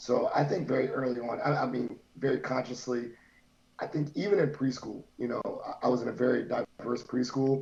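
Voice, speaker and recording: Over noticeable background noise, a man with an American accent speaks at a medium pitch and a fairly quick pace. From US, Virginia. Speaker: higher education professional, panel guest. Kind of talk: panel discussion.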